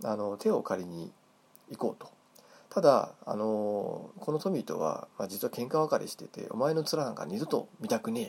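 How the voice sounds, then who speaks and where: A man speaks at a moderate pace. His loudness shifts in big swings. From Hokkaido, Japan. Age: 40s. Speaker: podcast host. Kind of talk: casual monologue. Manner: halting, many fillers.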